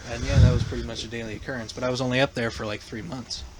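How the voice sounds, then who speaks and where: Amid noticeable background noise, a man with a northern US accent speaks very fast at a medium pitch. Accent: northern US accent, largely kept. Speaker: podcast host. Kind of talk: casual chat.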